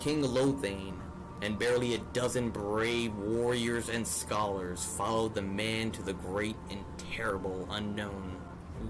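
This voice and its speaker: Music plays in the background. The speaker goes at a fairly slow pace with ordinary pitch variation. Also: man. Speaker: fantasy storyteller. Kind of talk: epic fantasy story narration.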